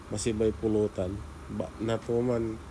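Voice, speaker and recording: A man speaks in a Pangasinan accent at a medium pitch. His delivery is fairly slow, with monotone, flat intonation. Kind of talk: casual talk to camera.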